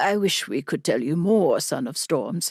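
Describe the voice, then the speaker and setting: A woman's raspy put-on character voice, fairly low in pitch, with lively intonation at a moderate pace, in a very clean recording with a silent background and a dry, close sound without echo. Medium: read story. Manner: patient, formal.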